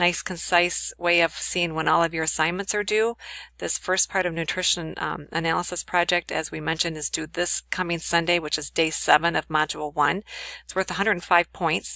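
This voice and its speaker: Her tone bright and sharp, a woman speaks fairly quickly with vocal fry and monotone, flat intonation, in a dry, close sound with no echo. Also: fairly low pitch for a woman. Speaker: college instructor. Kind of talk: recorded lecture tutorial. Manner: fast.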